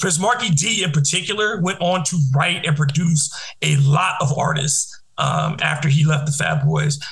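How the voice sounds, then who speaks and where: A man with an American accent and a fairly high pitch, ordinary pitch variation and very even loudness, with audible room echo and noticeable background noise. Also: moderate pace. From Detroit. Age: 40s. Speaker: podcast host, radio host. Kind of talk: casual chat.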